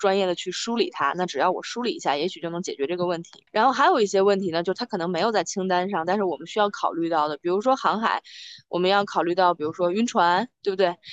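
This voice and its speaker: A woman with a medium-pitched voice talks at a very fast clip, barely pausing, with ordinary pitch variation and a dry, close sound that has no echo. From Hebei, China (family from Beijing). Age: 30s. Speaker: amateur sailor, former internet company employee. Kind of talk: interview. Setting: video call, outdoors on a harbour dock.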